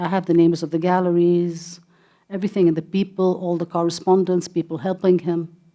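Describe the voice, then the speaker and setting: In a slight Indian accent, a woman talks at a fairly quick pace with a fairly low pitch, a dark, mellow tone and monotone, flat intonation. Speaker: gallery director and art patron. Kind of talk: interview. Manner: halting.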